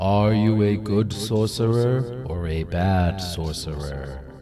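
A man uses a booming, put-on character voice with a fairly low pitch. He speaks at a fairly slow pace as clear music plays in the background. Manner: solemn.

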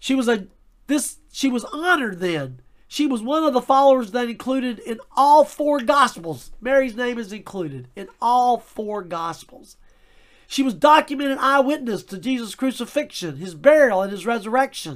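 A man speaks with an extremely high pitch and lively intonation. His pace is moderate, and his loudness swings widely. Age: 60s. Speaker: Bible teacher. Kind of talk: Bible study lesson.

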